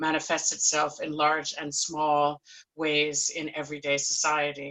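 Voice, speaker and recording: Speaking at a moderate pace in an American accent, a woman has a very deep, low pitch. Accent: non-Scottish, American. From United States. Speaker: panelist, musician. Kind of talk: panel discussion.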